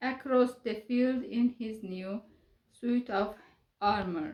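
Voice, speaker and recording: A woman with a non-native accent, very slow and calm, with a soothing tone. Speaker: storyteller for children. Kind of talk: reading aloud. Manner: calm, soothing.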